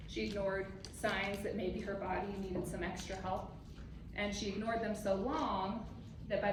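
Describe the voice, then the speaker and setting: A woman at a medium pitch speaks with monotone, flat intonation, with audible room echo and noticeable background noise around her. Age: 30s. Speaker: mammography technologist and health coach. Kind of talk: health talk to an audience. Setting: conference room with audience, microphone. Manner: loud.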